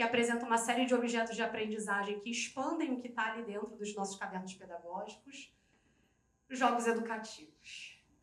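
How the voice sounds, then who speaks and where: At a fairly quick pace and with fairly even intonation, an unremarkable speaking voice talks. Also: woman, fairly high pitch for a woman. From Rio de Janeiro, Brazil. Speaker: educator and project leader. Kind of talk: conference talk.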